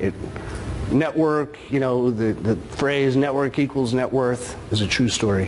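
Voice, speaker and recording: Amid noticeable background noise and audible room echo, a man at a medium pitch talks at a moderate pace with ordinary pitch variation. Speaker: note investor, conference speaker. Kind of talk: conference talk.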